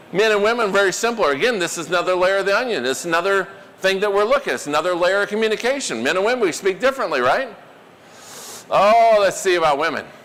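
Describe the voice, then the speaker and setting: A high-pitched man, animated in tone and lively in intonation, at a very fast pace over noticeable background noise. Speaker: corporate trainer / public speaker. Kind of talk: seminar presentation. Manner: animated, conversational.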